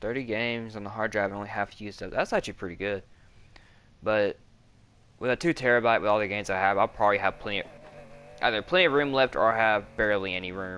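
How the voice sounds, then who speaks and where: Bright and sharp in tone, this voice with an American accent shows ordinary pitch variation and long, frequent pauses. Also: man, fairly low pitch for a man. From US South. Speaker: gamer streamer. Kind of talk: casual chat while gaming.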